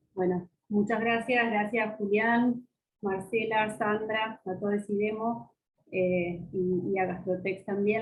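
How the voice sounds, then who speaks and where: A woman's medium-pitched voice stays monotone and flat, moving at a fairly slow pace. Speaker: pediatric gastroenterologist. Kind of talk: medical lecture.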